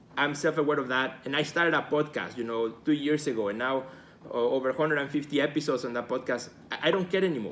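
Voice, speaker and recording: Here a man talks at a fairly high pitch. His tone is enthusiastic, with ordinary pitch variation. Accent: Spanish. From Mexico. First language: Spanish. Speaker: artist and gallery director, video host. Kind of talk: live video talk to viewers. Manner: enthusiastic, repetitive with fillers.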